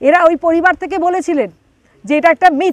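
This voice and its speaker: Against a quiet background, a woman talks in an extremely high pitch, the sound dry with no echo. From West Bengal, South 24 Parganas; West Bengal. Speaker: actress and TV newsreader; actress, TV newsreader. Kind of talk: interview. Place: garden.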